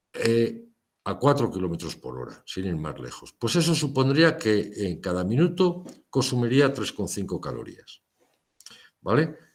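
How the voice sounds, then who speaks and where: A man with a medium-pitched voice talks at a fairly slow pace, his pitch swinging very widely and his loudness rising and falling sharply, with vocal fry and audible echo in the room. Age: 60s. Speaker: lecturer. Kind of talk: lecture.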